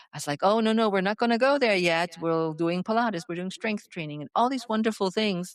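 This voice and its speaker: With a slight German accent, a woman speaks with lively intonation against a quiet background, the sound dry and close with no echo. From Germany. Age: 60s. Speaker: fitness coach. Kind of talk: interview.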